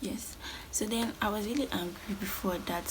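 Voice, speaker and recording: Audible room echo and noticeable background noise around a woman's speaking voice. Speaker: lifestyle vlogger. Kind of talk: storytime vlog. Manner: fast.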